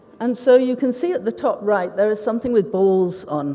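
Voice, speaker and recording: A woman speaks with a British accent and ordinary pitch variation. Noticeable background noise runs underneath. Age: 60s. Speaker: ceramic artist. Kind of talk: conference talk. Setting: stage with audience.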